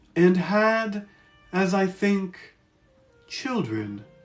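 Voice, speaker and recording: A man's put-on character voice, high in pitch, over faint music in the background. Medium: read story.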